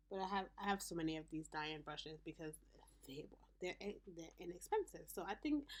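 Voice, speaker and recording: A woman with an American accent talks at a moderate pace and medium pitch. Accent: Haitian accent, comes out a lot. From Haitian American. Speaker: beauty vlogger. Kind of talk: makeup tutorial. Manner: casual, chatty.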